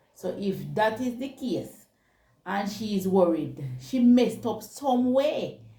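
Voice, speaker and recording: A woman's fairly high voice with lively intonation, at a very slow pace, amid audible room echo. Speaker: talk show co-host. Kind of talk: casual chat.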